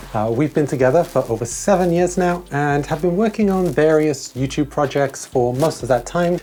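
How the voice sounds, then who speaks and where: Over noticeable background noise, a woman with a Welsh accent and a very deep, low pitch speaks at a fairly quick pace in a relaxed tone, her pitch swinging very widely while her loudness stays very even. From Wales. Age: 30s. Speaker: video essayist. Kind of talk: video essay, casual vlog. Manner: relaxed, chatty.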